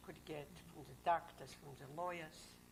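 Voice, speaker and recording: With audible room echo, a woman speaks in a very deep, low pitch, flat and monotone, with vocal fry. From Poland, Grodno. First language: Russian or Polish. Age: 60s. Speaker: Holocaust survivor. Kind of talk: oral history interview testimony. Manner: terse, short answers.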